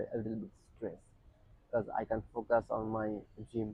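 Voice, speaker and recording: A man speaks with a non-native accent in a monotone, flat intonation. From Asia. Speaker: counselling client in role-play. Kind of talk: counselling role-play. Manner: hesitant, many fillers.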